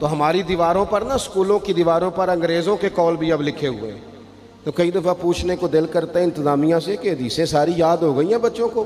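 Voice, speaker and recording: The pitch varies in an ordinary way. Noticeable background noise runs underneath. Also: man, high pitch for a man. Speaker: Islamic preacher. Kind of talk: religious sermon. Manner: emotional, passionate.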